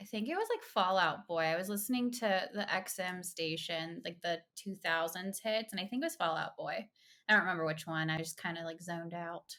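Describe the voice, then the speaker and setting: On a very clean recording with a silent background, a woman with an American accent speaks at a fairly quick pace and medium pitch, with ordinary pitch variation and a bright, sharp tone. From US South, rural central Florida. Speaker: pediatric occupational therapist. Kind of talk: casual interview chat.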